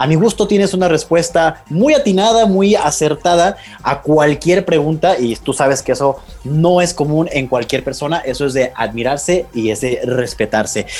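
An animated, fairly high-pitched man in a Mexican accent, lively intonation, with noticeable background noise. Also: moderate pace. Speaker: podcast host. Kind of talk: casual interview.

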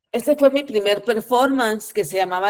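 A woman's fairly high-pitched voice. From Guatemala. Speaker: performance artist and poet. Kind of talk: presentation of own work.

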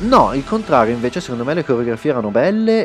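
Music plays in the background as a man talks at a very fast pace with ordinary pitch variation, in a dry, close sound with no echo. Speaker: film website writer. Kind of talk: casual chat. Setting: studio.

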